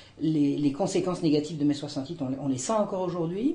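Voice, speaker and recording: At a fairly quick pace, a woman speaks with a fairly low pitch and a dark, mellow tone. The room echo is audible. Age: 60s. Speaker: historian. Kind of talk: testimony. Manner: halting, many hesitations.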